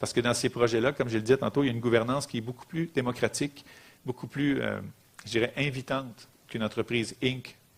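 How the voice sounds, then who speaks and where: The man's speech comes very fast at a medium pitch. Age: 40s. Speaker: social economy executive, lecturer. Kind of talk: lecture.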